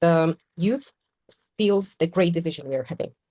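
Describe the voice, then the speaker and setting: The speaker has a Polish accent and a dark, mellow tone, talking at a fairly slow pace with ordinary pitch variation. The sound is dry and close, with no echo. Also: woman. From Poland. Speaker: podcast panelist. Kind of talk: casual discussion.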